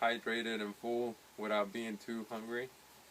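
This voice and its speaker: A man's voice at medium pitch. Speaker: fitness vlogger. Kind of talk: casual video diary. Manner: halting, searching for words.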